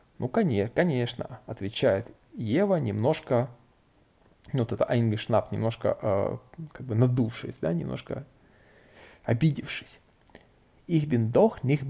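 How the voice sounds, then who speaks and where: Long, frequent pauses from a man at a medium pitch, with vocal fry and lively intonation. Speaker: language-learning YouTuber. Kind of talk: casual tutorial, reading and translating a book. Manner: informal, chatty, with fillers.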